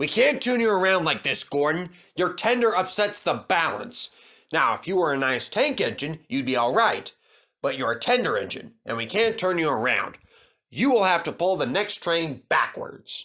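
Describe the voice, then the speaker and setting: A man puts on a character voice at a high pitch and a moderate pace. The recording is very clean with a silent background. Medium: read story. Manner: plain, matter-of-fact.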